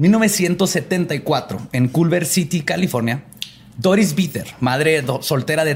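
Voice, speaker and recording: With a Mexican accent, a man speaks in a fairly high pitch and lively intonation. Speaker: podcast host, storyteller. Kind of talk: storytelling about paranormal cases in casual chat.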